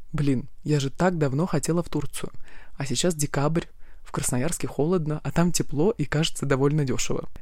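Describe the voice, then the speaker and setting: The tone is dark and mellow, the intonation fairly even, and the delivery moves at a moderate pace. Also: woman, very deep, low pitch for a woman. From Siberia, Krasnoyarsk. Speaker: podcast host, travel blogger. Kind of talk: personal travel diary monologue.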